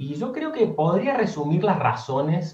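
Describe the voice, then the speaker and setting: A man talks at a fairly slow pace with very wide pitch swings. There is noticeable background noise. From Argentina, Córdoba. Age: 30s. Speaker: former seminarian. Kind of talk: interview. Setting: video call.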